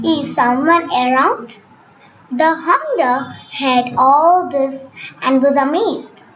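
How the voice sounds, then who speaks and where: Over noticeable background noise, a woman with a high pitch speaks at a very slow pace in a calm tone with lively intonation. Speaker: storyteller. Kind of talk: bedtime story narration, read aloud to children in a gentle storytelling style. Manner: calm, measured, expressive storyteller pacing with clear simple phrasing.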